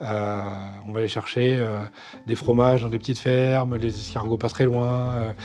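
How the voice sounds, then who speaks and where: Over music in the background, a man with a medium pitch talks at a fairly quick pace with fairly even intonation. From northern France, Nord-Pas-de-Calais. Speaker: chef. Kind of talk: interview monologue. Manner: halting, many fillers.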